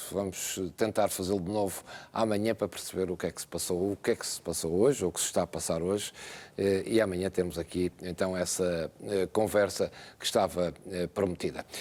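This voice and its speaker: A man with a very deep, low pitch talks fairly quickly and with fairly even intonation, in a very clean recording with a silent background. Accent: European Portuguese. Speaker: TV presenter. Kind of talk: TV presenting.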